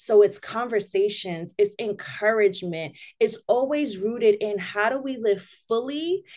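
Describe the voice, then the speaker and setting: Her pace is very slow, yet her intonation stays lively. The woman speaks in an American accent. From Spanish Harlem, New York City. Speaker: minister. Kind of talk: casual chat.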